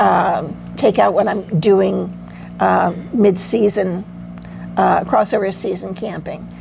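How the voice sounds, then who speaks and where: Noticeable background noise sits behind a woman who talks at a fairly slow pace. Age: 70s. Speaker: van camper at a women's meetup. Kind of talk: casual chat. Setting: group meetup.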